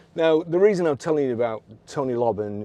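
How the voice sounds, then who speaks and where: A man with a Lancashire accent, dark and mellow in tone, lively intonation, moderate pace, quiet background. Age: 60s. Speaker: car dealer. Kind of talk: casual vlog storytelling. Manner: halting, many repetitions.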